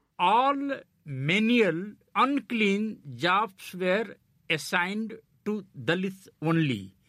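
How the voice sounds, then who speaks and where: Someone speaks at a very slow pace with an Indian accent. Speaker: journalist and political commentator. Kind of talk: panel discussion.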